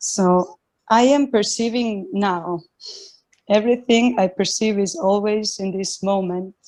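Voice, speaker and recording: A woman with a non-native accent speaks at a medium pitch. Her pace is fairly slow, with ordinary pitch variation. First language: not English. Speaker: satsang participant asking a question. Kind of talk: reading a written question aloud. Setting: video call. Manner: halting, many fillers.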